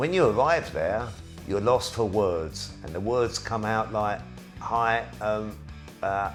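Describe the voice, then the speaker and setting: A man with a fairly low voice at a very slow pace, music in the background. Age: 60s. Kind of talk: casual talk to camera.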